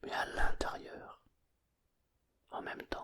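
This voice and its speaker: Someone whispers at a very slow pace. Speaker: hypnotherapist. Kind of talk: sleep hypnosis. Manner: whispered.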